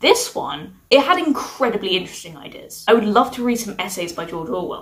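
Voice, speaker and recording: Against noticeable background noise, a woman with a fairly high voice talks at a fairly quick pace. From UK. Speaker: book reviewer. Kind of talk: casual review monologue.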